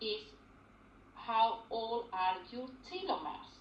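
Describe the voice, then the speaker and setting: A woman's fairly high voice, very slow pace and lively intonation. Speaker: lung disease consultant doctor. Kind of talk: medical talk to patients.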